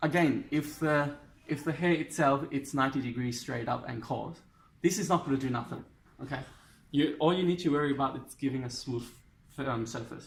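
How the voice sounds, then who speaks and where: Somewhat breathy and fairly quick, a man with a non-native accent talks in a fairly high pitch with ordinary pitch variation. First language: not English. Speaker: hairdresser. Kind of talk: tutorial. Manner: halting.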